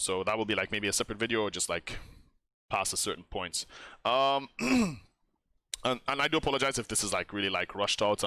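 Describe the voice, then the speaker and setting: A man puts on a raspy character voice at a medium pitch, talking very fast with long, frequent pauses. The sound is dry and close with no echo, on a very clean recording with a silent background. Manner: fast, rushed talking.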